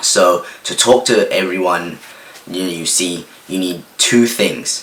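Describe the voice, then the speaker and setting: A man's very slow speech comes through noticeable background noise. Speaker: self-improvement youtuber. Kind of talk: casual vlog talk. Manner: halting, many fillers like 'like' and 'um'.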